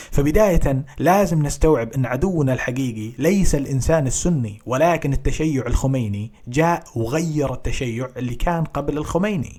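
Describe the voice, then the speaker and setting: With hardly any pauses, a man talks at a fairly slow pace in a fairly high pitch with ordinary pitch variation, over noticeable background noise. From Saudi Arabia, Qatif (Eastern Province). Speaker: Shia commentator in online debate. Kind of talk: debate.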